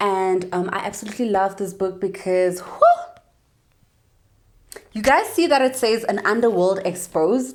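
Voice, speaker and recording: A woman with a South African accent speaks at a medium pitch with lively intonation. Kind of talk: casual talk to camera. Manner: upbeat.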